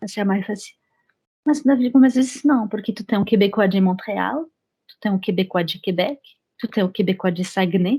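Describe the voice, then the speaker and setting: A woman with a French accent speaks at a moderate pace in a dark, mellow, somewhat breathy tone, her loudness swinging widely on a very clean recording with a silent background. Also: medium pitch for a woman, ordinary pitch variation. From France. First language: French (speaking Portuguese). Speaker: French teacher and immigration paralegal. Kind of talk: interview.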